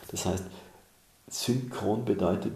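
A man's voice with audible room echo. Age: 60s. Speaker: author and mentor. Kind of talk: interview.

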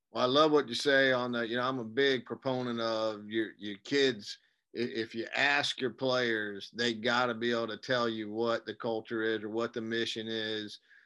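Delivered at a moderate pace with hardly any pauses, the voice has a bright, sharp tone and monotone, flat intonation on a very clean recording with a silent background. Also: man, medium pitch for a man. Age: old. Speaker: podcast host for coaches. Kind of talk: podcast interview.

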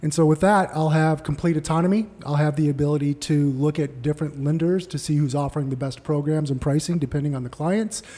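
Racing at a very fast pace with hardly any pauses, a man with an American accent sounds somewhat breathy, his fairly high pitch, dark, mellow tone and fairly even intonation holding throughout. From Arizona, Tempe. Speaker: mortgage broker. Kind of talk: casual chat.

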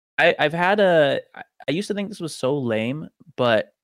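In a very clean recording with a silent background, a man with an American accent sounds dry and close, with no echo. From US Pacific Northwest (Tacoma, Washington). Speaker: professional runner. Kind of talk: casual chat.

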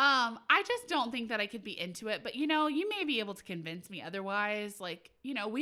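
A woman's fairly high, bright, sharp voice, animated in tone with lively intonation, at a fairly quick pace, on a very clean recording with a silent background. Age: 30s. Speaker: wedding podcast host. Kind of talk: casual chat.

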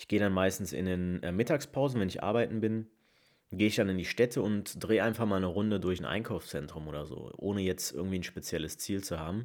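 Very deep and low, a man's voice moves at a very fast pace with ordinary pitch variation, captured in a very clean recording with a silent background. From Rhineland, Leverkusen. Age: 20s. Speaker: podcast host. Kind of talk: casual monologue.

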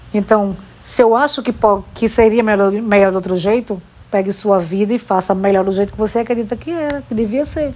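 At a fairly quick pace, a woman talks in a fairly high pitch with ordinary pitch variation. Her tone is dark and mellow. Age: 40s. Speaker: podcaster. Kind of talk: personal monologue. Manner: animated.

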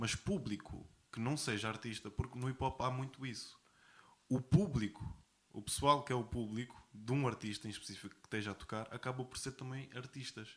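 Here is a man with a normal speaking voice, medium pitch and ordinary pitch variation. He talks at a fairly quick pace, with big swings in loudness. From Portugal (Algarve). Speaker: rapper. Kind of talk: casual interview.

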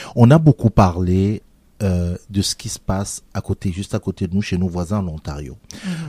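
In a dark, mellow tone with a very deep, low pitch, a man speaks at a moderate pace, recorded dry and close with no echo. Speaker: radio host. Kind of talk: interview.

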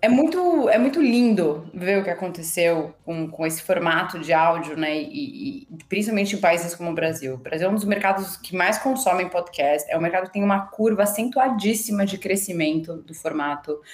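At a moderate pace, a woman with a medium pitch uses lively intonation. Background noise is noticeable. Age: 40s. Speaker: marketing executive. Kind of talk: interview.

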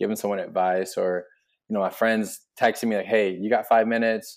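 A man's ordinary speaking voice, fairly quick, with fairly even intonation and a quiet background. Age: 20s. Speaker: sports DJ and arena host. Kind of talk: casual chat.

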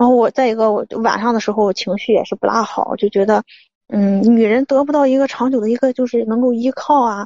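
Quiet and fairly quick, a woman speaks at a fairly high pitch with fairly even intonation. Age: 30s. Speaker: caller seeking marriage advice. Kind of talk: phone-in advice call. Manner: halting, many fillers; quiet, muffled.

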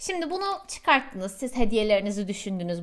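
The recording is very clean, with a silent background. A woman speaks with very wide pitch swings. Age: 30s. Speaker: podcast host and coach. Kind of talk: monologue with self-help tips.

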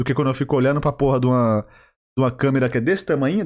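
Silence fills the background of a very clean recording. In it, a man talks with a fairly high pitch. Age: 20s. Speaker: podcast host. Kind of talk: solo comedic monologue. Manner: exaggerated presenter tone, rolled R.

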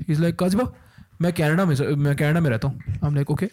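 A somewhat breathy man's voice, fairly high in pitch, dry and close with no echo. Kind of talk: casual chat. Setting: studio.

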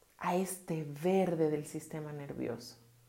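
A calm, dark, mellow tone comes through with audible room echo. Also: woman. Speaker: podcast host and therapist. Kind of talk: solo podcast talk. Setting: home bathroom.

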